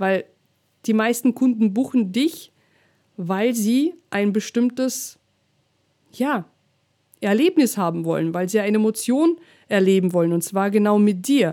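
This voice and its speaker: A woman with a fairly high pitch and a dark, mellow tone talks at a fairly slow pace, with long, frequent pauses. Her intonation is lively, and the recording is very clean with a silent background. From Russia. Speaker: DJ and business coach, podcast host. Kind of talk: solo podcast monologue, coaching advice.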